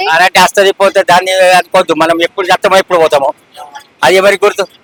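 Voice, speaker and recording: A man is heard with a dry, close sound with no echo, though noticeable background noise is present. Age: old. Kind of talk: street interview answer.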